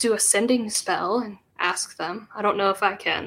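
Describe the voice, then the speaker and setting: Slow-paced and flat in intonation, a woman speaks in a bright, sharp tone. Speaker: tabletop RPG player. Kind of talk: casual banter while playing a tabletop RPG.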